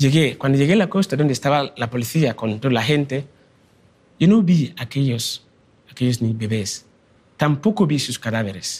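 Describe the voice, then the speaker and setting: A man with a fairly high, somewhat breathy voice speaks at a moderate pace. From Ghana. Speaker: migrant and education charity founder. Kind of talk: talk.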